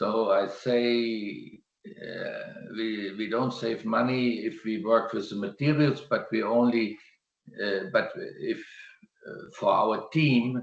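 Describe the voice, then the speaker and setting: Speaking in a German accent, a man talks very slowly at a medium pitch with ordinary pitch variation. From Germany. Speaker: landscape gardener. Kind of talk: presentation and Q&A answer. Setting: video call. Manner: halting.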